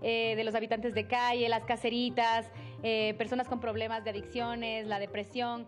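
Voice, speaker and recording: A woman at a moderate pace, with faint music behind her. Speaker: interviewee. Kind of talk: interview answer. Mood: reflective, personal. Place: hall. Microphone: handheld.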